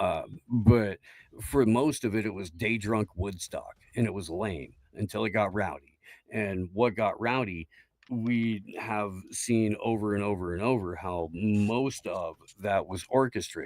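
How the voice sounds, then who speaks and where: A man's fairly low, fairly slow delivery in an ordinary speaking voice, with ordinary pitch variation. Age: 40s. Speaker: political streamer. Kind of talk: heated debate. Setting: online panel stream.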